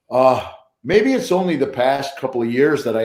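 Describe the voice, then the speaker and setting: Here a man speaks at a medium pitch and moderate pace. Room echo is audible. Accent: western New York. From US Northeast (Buffalo, New York). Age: 60s. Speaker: professional drummer. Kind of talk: casual interview on a livestream.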